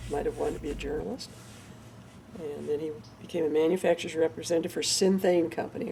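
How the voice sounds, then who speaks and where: Very fast talk with a Midwestern American accent. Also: woman. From northern Indiana, US Midwest. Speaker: parent recounting family history. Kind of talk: oral history interview.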